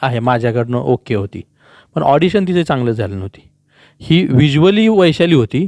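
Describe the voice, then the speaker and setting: Heard in a dry, close sound with no echo, a man with an ordinary speaking voice talks at a fairly high pitch with lively intonation. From Sangli district, Maharashtra (Maandesh). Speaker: film director. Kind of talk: interview.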